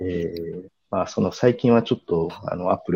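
Dry and close with no echo, a man's very deep, low voice moves at a moderate pace with lively intonation. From Kumamoto, Japan. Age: 50s. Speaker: art event planner. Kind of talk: interview conversation.

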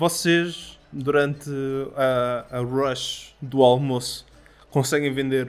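Speaking at a very slow pace, a man keeps a flat monotone throughout. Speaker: game master of tabletop roleplaying podcast. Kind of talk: game narration.

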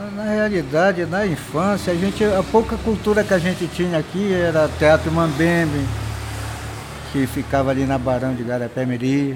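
Moderate-paced speech from a man pitched fairly high, clear background noise behind him. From Guamá, Belém, Brazil. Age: 60s. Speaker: bar owner. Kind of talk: casual interview. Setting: outdoors at a street bar.

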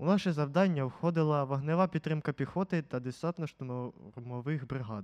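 Speaking in a plain, everyday voice, a man keeps a moderate pace with ordinary pitch variation, and the sound is dry and close with no echo. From central Ukraine, Poltava region. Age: 50s. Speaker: war veteran. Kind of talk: testimony.

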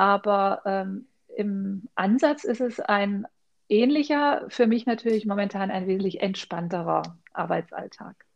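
This woman has an unremarkable speaking voice, medium in pitch, with ordinary pitch variation. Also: fairly slow pace. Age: 50s. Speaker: leadership trainer and coach. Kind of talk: interview answers.

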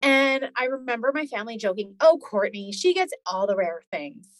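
At a moderate pace, a woman with a Canadian accent speaks at a high pitch with very wide pitch swings. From Alberta, Canada. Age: 40s. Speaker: chronic illness patient, former paramedic. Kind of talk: interview, personal story.

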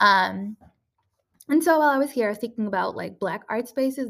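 In a normal speaking voice, a woman talks with ordinary pitch variation. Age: 20s. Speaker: podcast host and artist. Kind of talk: casual solo talk. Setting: recording in a room at an artist residency house. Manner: frequent filler words (um, like).

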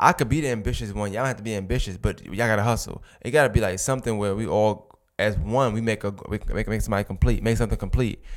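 A man with a Brooklyn accent at medium pitch and a very fast pace, on a very clean recording with a silent background. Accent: New York (Brooklyn). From Brooklyn, New York. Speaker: podcast host, guest here. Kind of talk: casual interview conversation.

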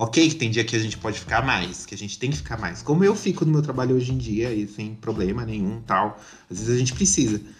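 With vocal fry and lively intonation, the voice races along at a very fast pace with hardly any pauses. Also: man, medium pitch for a man. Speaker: podcast host. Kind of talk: casual chat.

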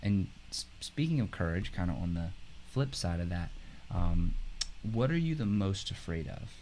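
A man speaks at a moderate pace with a very deep, low voice, his pitch swinging very widely between long, frequent pauses. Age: 20s. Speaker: talk show host. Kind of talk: interview. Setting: studio.

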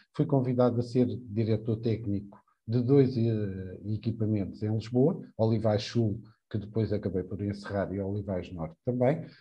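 A man at a moderate pace, fairly low in pitch and somewhat breathy, with ordinary pitch variation. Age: 40s. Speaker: early childhood educator and social security technical monitor. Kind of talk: live podcast interview.

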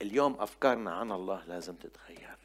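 Here a man speaks at a medium pitch. His pace is moderate and his pitch varies in an ordinary way. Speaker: preacher. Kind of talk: sermon. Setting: church with congregation. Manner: animated, exhortative.

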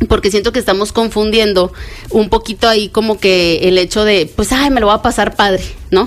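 A woman's fairly high voice at a moderate pace, with fairly even intonation and music in the background. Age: 30s. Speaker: baker and social media entrepreneur. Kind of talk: interview.

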